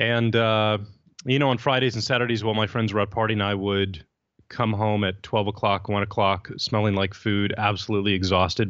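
A man with an American accent and a plain, everyday voice, fairly low in pitch, with fairly even intonation and very even loudness. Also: fairly quick pace. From Texas, San Antonio. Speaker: entrepreneur. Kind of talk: interview.

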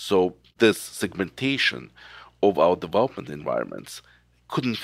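Moderate pace in a Ukrainian accent, dry and close with no echo, on a very clean recording with a silent background. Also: man. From Kyiv, Ukraine. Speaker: cybersecurity expert and company founder. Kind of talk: podcast interview.

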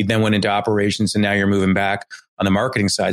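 The speech comes at a very fast pace in a very clean recording with a silent background. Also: man. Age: 50s. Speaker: marketing agency CEO and podcast host. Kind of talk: interview.

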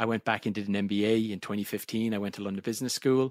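A very fast Irish accent with ordinary pitch variation, dry and close with no echo, on a very clean recording with a silent background. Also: man. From Ireland. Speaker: software product executive. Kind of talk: interview conversation. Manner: fast talker.

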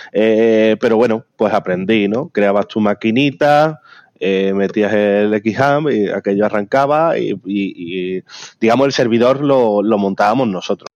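A man uses a normal speaking voice, fairly low in pitch with ordinary pitch variation, at a fairly slow pace, captured with a dry, close sound, no echo and a quiet background. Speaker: software company founder. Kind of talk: interview.

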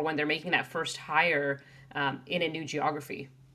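Noticeable noise runs through the background. A woman talks over it. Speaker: podcast host. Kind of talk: casual interview.

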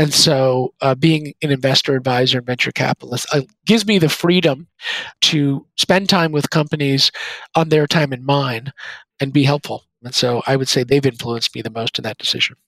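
Here is an ordinary speaking voice, a man's, at a moderate pace with ordinary pitch variation. The sound is dry and close, with no echo. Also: fairly high pitch for a man. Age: 40s. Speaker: venture capitalist, former software executive. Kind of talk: interview.

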